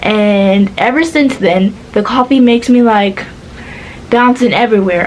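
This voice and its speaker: Against noticeable background noise, a woman speaks with fairly high pitch and fairly even intonation. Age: 20s. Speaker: vlogger. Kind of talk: casual chat. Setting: in bed.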